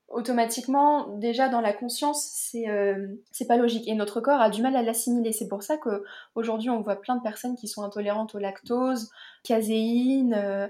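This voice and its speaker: A woman speaks at a moderate pace with a fairly high pitch, a dark, mellow tone and fairly even intonation. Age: 20s. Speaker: naturopath and yoga teacher. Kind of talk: interview about personal health story.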